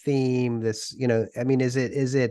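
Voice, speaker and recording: With an American accent, this man has a dark, mellow tone and a monotone, flat intonation. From US Northeast, Worcester, Massachusetts. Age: 60s. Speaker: podcast host interviewing authors. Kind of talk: interview conversation.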